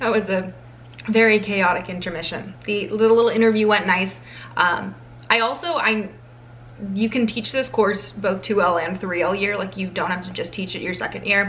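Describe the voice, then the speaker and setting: A medium-pitched woman with ordinary pitch variation is heard through noticeable background noise and audible room echo. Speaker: law school vlogger. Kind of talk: vlog to camera. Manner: fast; casual, chatty with fillers.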